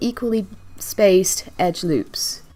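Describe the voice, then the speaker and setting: A woman speaks at a medium pitch with ordinary pitch variation while music plays in the background. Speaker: 3D modelling tutor. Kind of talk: software tutorial narration.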